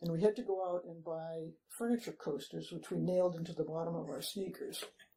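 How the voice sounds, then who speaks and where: A woman speaks at a fairly slow pace in a dark, mellow tone. Her delivery is somewhat breathy, with ordinary pitch variation. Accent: American. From Massachusetts, Newton. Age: 80s+. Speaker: long-time local resident. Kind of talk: oral history interview. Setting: city hall interview.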